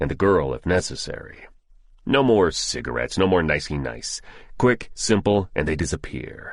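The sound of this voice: Using a put-on character voice, a man speaks at extremely low pitch with big pitch swings at a moderate pace.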